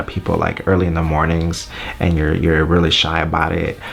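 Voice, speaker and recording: Over noticeable background noise, a man speaks in a very deep, low voice. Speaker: YouTuber and wedding videographer. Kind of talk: casual vlog talk. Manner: hesitant, many fillers.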